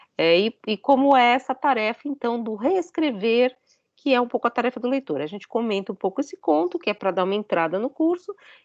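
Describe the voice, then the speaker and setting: Fairly quick speech with very wide pitch swings and a dry, close sound with no echo. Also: woman, fairly high pitch for a woman, quiet background. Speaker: philosophy professor. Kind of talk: lecture.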